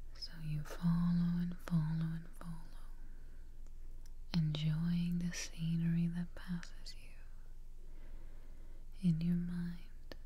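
A woman whispers, soft-spoken and somewhat breathy. She leaves long, frequent pauses. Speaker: relaxation guide. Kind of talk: guided meditation, soft-spoken. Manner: soft, slow whispered guided relaxation. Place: home room.

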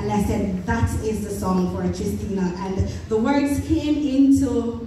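A woman speaks slowly at a medium pitch with ordinary pitch variation. Audible room echo surrounds her voice.

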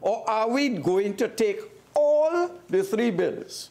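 Very slowly, a man talks. His pitch swings very widely. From Trinidad and Tobago. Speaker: opposition member of parliament. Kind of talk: parliamentary debate speech. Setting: parliament chamber. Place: hall.

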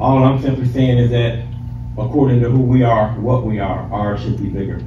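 A man at a fairly quick pace, with noticeable background noise. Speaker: preacher. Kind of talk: sermon. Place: hall. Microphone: camera far.

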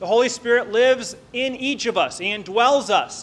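A man speaks at an extremely high pitch. His pace is fairly slow. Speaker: preacher. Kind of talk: sermon. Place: church. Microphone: podium.

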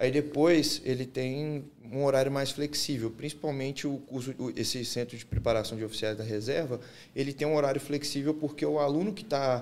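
In an ordinary speaking voice, a man with fairly high pitch and fairly even intonation moves at a fairly quick pace. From Minas Gerais, Belo Horizonte. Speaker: former army officer and bodybuilder; podcast guest. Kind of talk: interview. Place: studio. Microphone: studio mic.

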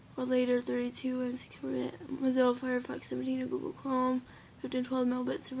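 Over light background noise, a woman talks at a fairly quick pace with a fairly high pitch. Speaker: gamer explaining computer specs. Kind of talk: casual talk to camera. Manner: hesitant, filler-heavy. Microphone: phone near.

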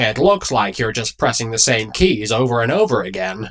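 A man uses a put-on character voice at medium pitch. He moves along at a moderate pace. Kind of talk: parody dub.

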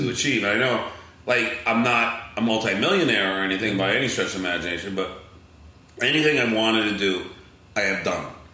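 Long, frequent pauses break up a man's very fast speech at medium pitch, with ordinary pitch variation. His loudness stays very even against noticeable background noise. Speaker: radio personality and announcer. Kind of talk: podcast interview answer. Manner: casual, energetic.

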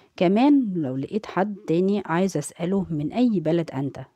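With a dark, mellow tone, a woman speaks at a fairly slow pace. Her pitch is fairly low and her intonation lively. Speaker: English teacher. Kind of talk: tutorial. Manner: slow, repetitive drilling.

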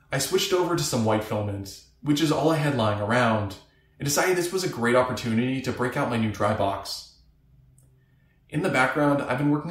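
A man talks at a very fast pace. There is audible room echo. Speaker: maker vlogger. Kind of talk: tutorial narration.

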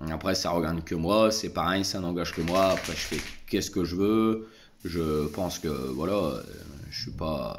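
With noticeable background noise behind him, a man talks at a fairly slow pace in a very deep, low voice. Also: ordinary pitch variation. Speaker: vlogger. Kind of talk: casual vlog monologue. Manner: hesitant, many fillers. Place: home room. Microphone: phone near.

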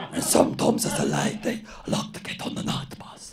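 Over clear background noise, a man in a high-pitched, put-on character voice talks at a fairly quick pace. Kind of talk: stand-up comedy routine.

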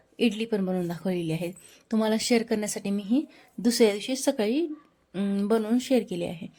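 In a very clean recording with a silent background, a woman speaks at a fairly high pitch with a dark, mellow tone and ordinary pitch variation. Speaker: cooking vlogger. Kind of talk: cooking vlog tutorial. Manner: occasional slurring, repeated words.

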